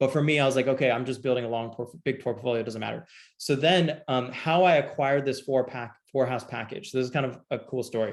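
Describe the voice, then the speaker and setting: Speaking at a very fast pace with hardly any pauses, a man uses a medium pitch and fairly even intonation. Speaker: real estate investor and lending company president. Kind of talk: online presentation to friends and family. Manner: many fillers, self-corrections.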